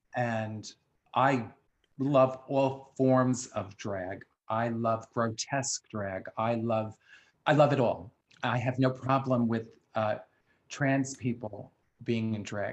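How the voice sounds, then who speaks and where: Speaking at a very slow pace in a New York accent, the voice keeps a fairly even intonation with long, frequent pauses. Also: man, medium pitch for a man. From the Bronx, New York. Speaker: drag performer and actor. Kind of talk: casual interview.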